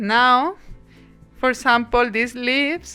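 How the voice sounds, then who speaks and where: Very slow speech from a woman with a strong non-native accent and high pitch, with music in the background. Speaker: watercolor artist. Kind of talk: art tutorial talk to camera.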